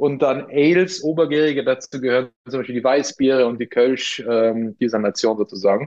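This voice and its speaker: A medium-pitched man with a slight Austrian accent, at a moderate pace. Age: 40s. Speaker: craft brewery co-founder. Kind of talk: interview.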